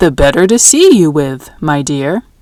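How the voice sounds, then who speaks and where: A woman's put-on character voice, very deep and low in pitch, at a moderate pace. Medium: read story.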